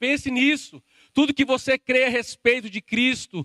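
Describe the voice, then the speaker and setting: A man with a Brazilian accent uses a raised, projected voice at an extremely high pitch, with a bright, sharp tone, a fairly slow pace and a dry, close sound with no echo. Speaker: preacher. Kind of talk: sermon, preacher in full flow, pressing the congregation with direct appeals. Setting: church with a live congregation, also streamed online. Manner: impassioned, urgent, emphatic; addresses listeners directly, rising intensity.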